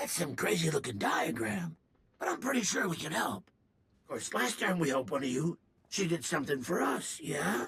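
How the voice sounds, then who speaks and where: Using a put-on character voice, a man speaks at a medium pitch and a moderate pace. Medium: video game. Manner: fast, excitable, slangy.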